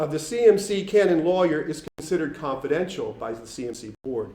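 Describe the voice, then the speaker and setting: A man with an American accent speaks in a fairly high pitch. His intonation is lively and his pace moderate. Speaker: canon law consultant. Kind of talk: public speech. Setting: forum with audience. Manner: formal.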